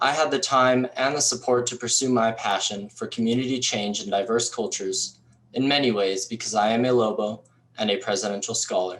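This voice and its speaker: An ordinary speaking voice from a man, medium in pitch, fairly quick and fairly even in intonation. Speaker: university student, scholarship recipient. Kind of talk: prepared speech. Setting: recorded for virtual event. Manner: formal.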